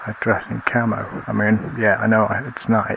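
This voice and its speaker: A man with a Lancashire accent, over noticeable background noise. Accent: northern English (Lancashire). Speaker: outdoor vlogger. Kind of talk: casual vlog monologue. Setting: outdoors, woods at night. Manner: quiet, talking softly; rambling with hesitations.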